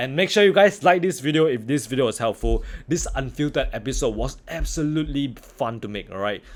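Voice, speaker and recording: A man's fairly high, animated voice with lively intonation, fairly quick and with hardly any pauses. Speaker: trading educator. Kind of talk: tutorial. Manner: casual, animated.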